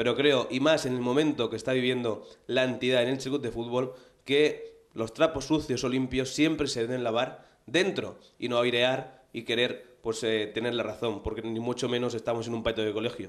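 With fairly even intonation, a man speaks at a moderate pace over a quiet background. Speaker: show host. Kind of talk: presenter commentary. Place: studio. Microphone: handheld.

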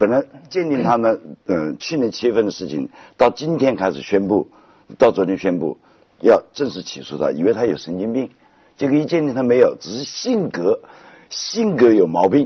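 A man's voice with vocal fry and big swings in loudness over a quiet background. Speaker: talk show guest. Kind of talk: animated conversational storytelling. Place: studio.

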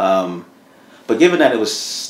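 A man speaks at a fairly slow pace against audible room echo and light background noise. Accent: American. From New Jersey (Madison, Morris County). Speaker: economic development executive. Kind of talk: interview. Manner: conversational with many filler words. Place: studio.

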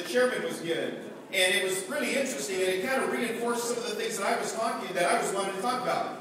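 Talking at a very fast pace, a man is heard in strong room echo with noticeable background noise. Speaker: politician addressing delegates. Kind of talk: political speech. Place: hall.

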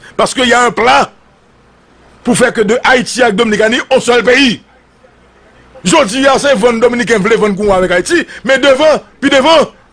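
Speaking at a fairly quick pace, a man uses an extremely high pitch with ordinary pitch variation and very even loudness. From Haiti. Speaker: political commentator. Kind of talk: political commentary monologue. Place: studio. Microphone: studio mic.

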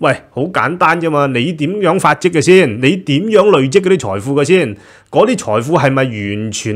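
Against a quiet background, a man with a Hong Kong accent talks at a moderate pace with very wide pitch swings. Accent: Hong Kong Cantonese. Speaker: news commentary host. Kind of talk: solo news commentary; news commentary. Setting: studio with green screen. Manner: casual, many filler sounds. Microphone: studio mic.

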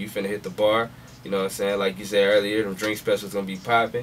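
A man speaks at a fairly low pitch over light background noise. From Houston area, Texas; Texas. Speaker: DJ and music producer; DJ. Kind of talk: radio interview. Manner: casual, slangy. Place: studio.

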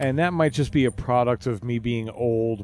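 A man speaks fairly slowly at medium pitch, with ordinary pitch variation. It is a plain, everyday voice. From US East Coast. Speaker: podcast co-host. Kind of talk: casual chat.

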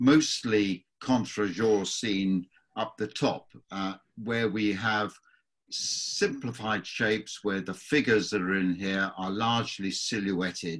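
A man's fairly low voice with fairly even intonation, very slow in pace, over a quiet background. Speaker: watercolour tutor. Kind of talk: tutorial. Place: workshop.

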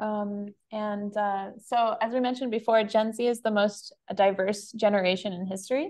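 A woman with an American accent speaks at a moderate pace over a quiet background. Her pitch is fairly high and her intonation fairly even. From Florida. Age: 20s. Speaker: marketing specialist; presenter. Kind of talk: presentation. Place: home room. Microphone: webcam.

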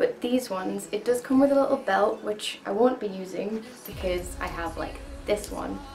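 Clear music plays in the background. Over it, a woman speaks with ordinary pitch variation. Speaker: costume reviewer. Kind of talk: casual vlog chat. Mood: cheerful, chatty, laughing. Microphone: camera far.

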